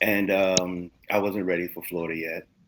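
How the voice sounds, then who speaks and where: The recording is very clean, with a silent background. A man with a New York accent speaks at a moderate pace. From New York (Mount Vernon). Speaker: music producer and manager. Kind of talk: interview. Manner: halting.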